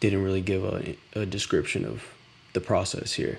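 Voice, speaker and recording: A man speaks with a fairly low pitch. His voice is somewhat breathy. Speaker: startup founder live streamer. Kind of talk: live stream reaction commentary. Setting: at home, late night. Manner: whispering, soft-spoken; casual, halting.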